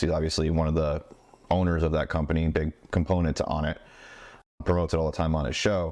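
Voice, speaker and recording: Over a quiet background, a man with a very deep, low pitch talks at a very fast pace. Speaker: podcast host. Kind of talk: casual chat. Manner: slurs words at times.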